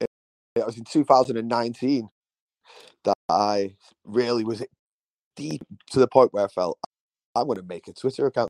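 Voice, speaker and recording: A man with a Manchester accent speaks at a moderate pace with a medium pitch, ordinary pitch variation and a dark, mellow tone, in a dry, close sound with no echo. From Manchester, England. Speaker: podcast co-host. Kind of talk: casual chat. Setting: remote call.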